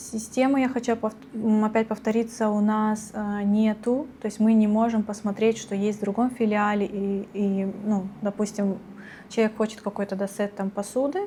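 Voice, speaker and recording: Delivery moves along at a moderate pace. Intonation is monotone and flat throughout. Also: woman, fairly high pitch for a woman. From Russia. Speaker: retail worker. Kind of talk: interview.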